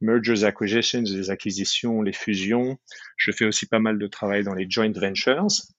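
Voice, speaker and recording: An unremarkable speaking voice from a man, fairly low in pitch, with ordinary pitch variation at a fairly slow pace. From France, moved to the US at 15. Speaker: business lawyer. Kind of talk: interview.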